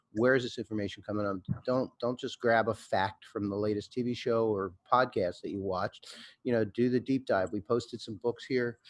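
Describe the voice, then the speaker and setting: This man has a plain, everyday voice at a medium pitch. He talks at a fairly quick pace with fairly even intonation over a quiet background. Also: dry, close sound with no echo. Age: 50s. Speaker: record label owner. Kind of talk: panel discussion.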